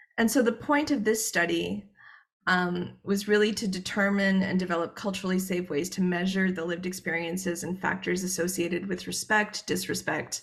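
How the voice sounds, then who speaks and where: The woman's voice is somewhat breathy, and her intonation stays fairly even. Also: medium pitch for a woman. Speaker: researcher. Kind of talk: conference presentation. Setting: joining a conference online. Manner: fast; hesitant, many filler words.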